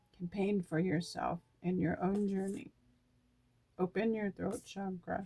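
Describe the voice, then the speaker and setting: The voice has a dark, mellow tone and is somewhat breathy. It moves at a fairly slow pace with ordinary pitch variation and very even loudness. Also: woman, medium pitch for a woman. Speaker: tarot card reader. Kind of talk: oracle card reading. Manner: halting.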